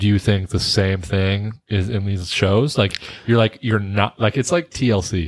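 With a normal speaking voice, a man talks at a fairly low pitch and a fairly slow pace with ordinary pitch variation on a very clean recording with a silent background. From New Jersey. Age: 20s. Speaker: podcast co-host, middle school teacher. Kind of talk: casual chat. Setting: studio.

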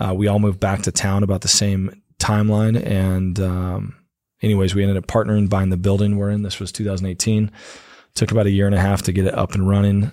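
In a very clean recording with a silent background, a man with a fairly low, dark, mellow voice speaks at a fairly quick pace in a flat monotone. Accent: American. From Arizona, Prescott. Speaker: bar owner and army veteran. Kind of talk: casual interview.

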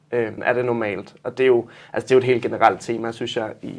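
A man's monotone, flat intonation comes at a moderate pace in a very clean recording against a silent background. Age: 20s. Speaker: sex education teacher and psychology student. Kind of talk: interview.

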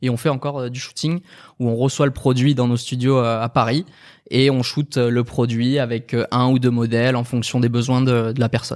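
The intonation stays monotone and flat in a very clean recording with a silent background. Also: man, medium pitch for a man, moderate pace. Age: 20s. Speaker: entrepreneur and video designer. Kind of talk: casual chat. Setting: live stream.

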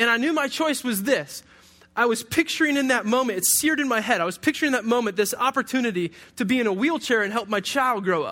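A man speaks very fast in an extremely high pitch with an American accent, his voice raised and projected, bright and sharp. His tone is animated with lively intonation, on a very clean recording with a silent background. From Detroit, Michigan. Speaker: pastor. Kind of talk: sermon. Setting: church.

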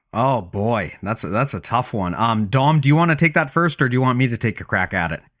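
Over a silent background in a very clean recording, a man with a plain, everyday voice talks at medium pitch and a fairly quick pace with lively intonation. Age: 30s. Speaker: podcast host. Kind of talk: panel discussion.

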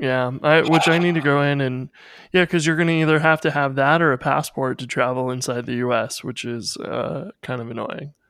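In a very clean recording with a silent background, a man with an ordinary speaking voice and fairly high pitch talks at a moderate pace with fairly even intonation. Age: 30s. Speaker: podcast co-host. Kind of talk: casual chat.

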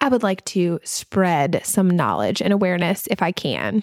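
An animated woman's voice at medium pitch with ordinary pitch variation, dry and close with no echo, in a very clean recording against a silent background. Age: 30s. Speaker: podcast host, stylist and mother. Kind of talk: casual solo podcast chat. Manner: animated, chatty, laughs often.

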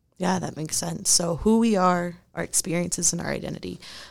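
An unremarkable speaking voice delivers its lines with fairly even intonation. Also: woman. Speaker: podcast host and youth minister. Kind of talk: podcast interview.

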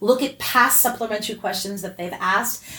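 A woman with a fairly high pitch talks at a fairly quick pace with ordinary pitch variation over noticeable background noise. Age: 40s. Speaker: college essay coach. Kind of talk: interview.

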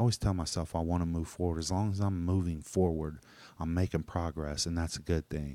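On a very clean recording with a silent background, a man with a very deep, low pitch and a dark, mellow tone talks at a fairly quick pace. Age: 40s. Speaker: podcaster. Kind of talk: solo monologue. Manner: fast when excited, fumbling; casual, profane, self-deprecating.

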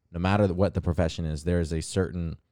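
A man's very deep, low voice carries a dark, mellow tone and fairly even intonation, recorded dry and close with no echo against a very clean, silent background. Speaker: podcast host. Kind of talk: casual chat.

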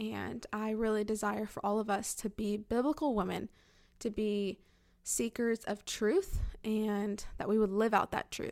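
A woman with an American accent, fairly high pitch, fairly even intonation and a fairly slow pace, in a very clean recording with a silent background. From California. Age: 20s. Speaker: podcast host, Bible teacher. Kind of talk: casual faith talk monologue.

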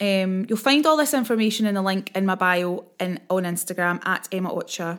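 Moderate pace in a Scottish accent, ordinary pitch variation, very clean recording with a silent background. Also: woman. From Scotland. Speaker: empowerment coach and podcast host. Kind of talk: casual solo podcast monologue. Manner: hesitant, many filler words.

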